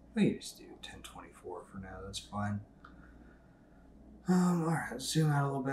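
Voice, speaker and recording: A man is speaking here. His voice carries audible room echo. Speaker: software tutorial creator. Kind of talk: tutorial. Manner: casual with many fillers.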